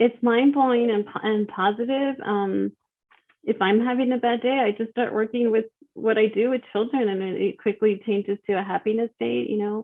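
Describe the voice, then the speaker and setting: In an American accent, this speaker uses an unremarkable speaking voice with fairly even intonation at a moderate pace. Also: woman, fairly high pitch for a woman. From Texas, El Paso. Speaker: author and children's speaker. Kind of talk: podcast interview.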